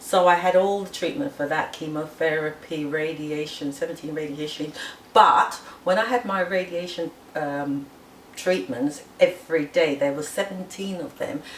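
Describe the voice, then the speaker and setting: A woman with a fairly low voice speaks at a moderate pace, her pitch varying in an ordinary way. Noticeable background noise runs behind her. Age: 60s. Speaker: massage therapist. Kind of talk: personal testimony.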